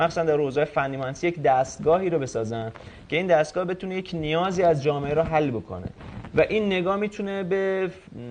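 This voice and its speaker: A man with a fairly high voice rattles through his words at a very fast pace. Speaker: robotics researcher and inventor. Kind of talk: TV talk show interview. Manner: hesitant, with fillers.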